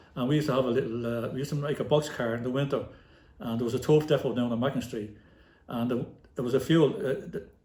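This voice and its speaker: This man talks very fast with a Dublin accent, his pitch medium and its variation ordinary. His tone is dark and mellow, and somewhat breathy. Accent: Dublin inner-city Irish. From Ireland, inner-city Dublin. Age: 60s. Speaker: retired football manager and player, podcast guest. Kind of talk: casual interview. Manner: animated storytelling.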